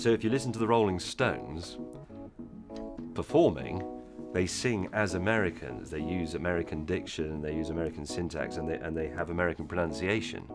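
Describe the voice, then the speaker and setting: A man with a very deep, low pitch and lively intonation at a fairly quick pace, music in the background. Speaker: TV presenter. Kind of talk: casual talk to camera, interview answer.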